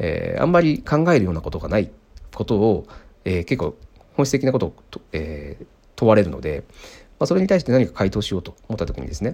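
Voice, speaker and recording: Very wide pitch swings over a dark, mellow tone, delivered at a fairly quick pace. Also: man. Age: 30s. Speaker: podcast host, software engineer. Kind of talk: casual solo talk. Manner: hesitant, many fillers.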